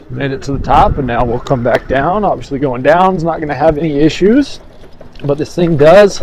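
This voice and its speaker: Against noticeable background noise, a man talks fairly quickly in a fairly high voice with ordinary pitch variation. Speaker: e-bike reviewer. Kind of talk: product review while riding. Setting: outdoors, riding off-road. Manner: animated.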